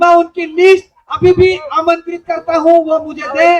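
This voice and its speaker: At a fairly slow pace, a man talks in a monotone, flat intonation at an extremely high pitch. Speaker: stage emcee at a protest rally. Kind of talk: rally announcements. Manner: loud.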